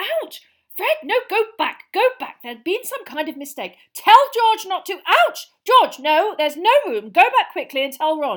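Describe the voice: In a put-on character voice, a woman speaks at an extremely high pitch with big pitch swings and a fairly slow pace.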